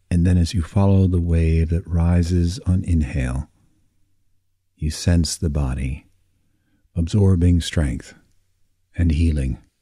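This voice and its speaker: A dark, mellow, soothing and calm voice, somewhat breathy, with ordinary pitch variation. It goes at a fairly slow pace with long, frequent pauses. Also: man, very deep, low pitch for a man. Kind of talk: guided meditation for sleep. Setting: recorded audio for listening in bed. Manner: slow, soft, soothing, with long pauses; calm, gentle, hypnotic.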